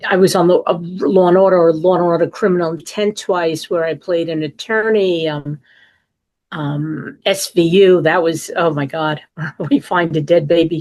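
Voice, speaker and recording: A woman speaks at a fairly slow pace with a medium pitch. She has a strong New York accent. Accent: strong New York, Queens. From New York, Queens. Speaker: actress. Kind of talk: interview.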